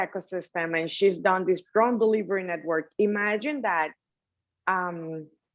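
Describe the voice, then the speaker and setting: Over a quiet background, a woman speaks at a moderate pace with a Dominican accent. Her pitch variation is ordinary. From Dominican Republic. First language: Spanish. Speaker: technology entrepreneur. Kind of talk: panel interview.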